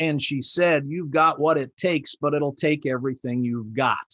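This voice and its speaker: A Midwestern American accent in a dry, close sound with no echo. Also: man. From US Midwest, Indianapolis. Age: 70s. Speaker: customer service trainer and keynote speaker. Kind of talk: presentation. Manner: halting.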